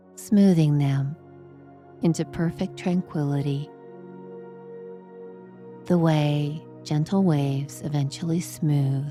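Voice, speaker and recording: Against music in the background, a woman with a very deep, low voice and ordinary pitch variation speaks very slowly, leaving long, frequent pauses. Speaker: sleep hypnosis guide. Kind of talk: guided sleep meditation. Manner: slow, gentle, soothing.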